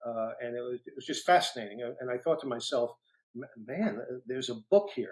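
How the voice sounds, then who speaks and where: Speaking with a New York accent, a man talks at a fairly quick pace and medium pitch, with lively intonation and big swings in loudness. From New York City (Brooklyn). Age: 60s. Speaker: retired federal agent and author. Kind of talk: interview storytelling. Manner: halting with many fillers.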